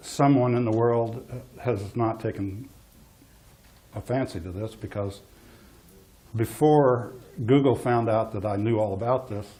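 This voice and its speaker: Speaking quietly at a fairly slow pace, a man uses medium pitch and fairly even intonation with long, frequent pauses. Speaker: geologist giving a talk. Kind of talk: public talk. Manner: hesitant.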